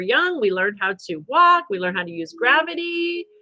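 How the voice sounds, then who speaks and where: A woman's raised, projected voice with a bright, sharp tone and very wide pitch swings at a moderate pace. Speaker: spiritual wellness livestream host. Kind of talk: livestream talk to viewers. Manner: loud.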